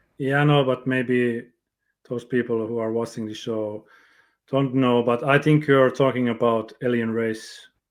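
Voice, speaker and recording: In a Finnish accent, a man speaks fairly slowly in a flat monotone at medium pitch. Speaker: interview show host. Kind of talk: interview. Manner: halting.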